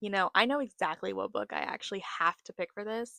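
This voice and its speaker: A woman with an American accent talks at a fairly quick clip, recorded very cleanly against a silent background with a dry, close sound and no echo. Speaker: book YouTuber. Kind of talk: casual vlog chat. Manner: casual, hesitant with fillers and repeats.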